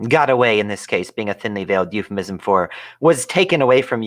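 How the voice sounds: The clip has a natural reading voice. Its pitch varies in an ordinary way.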